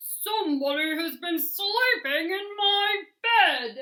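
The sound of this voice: A loud, growling put-on character voice at an extremely high pitch and a very slow pace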